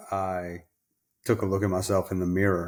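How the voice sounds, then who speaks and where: The speaker has an American accent and monotone, flat intonation. The recording is very clean, with a silent background. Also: man. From New York City, Colombia, then Louisiana. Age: 50s. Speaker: podcast guest, company director. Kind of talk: testimony in podcast interview. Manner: casual, hesitant with fillers.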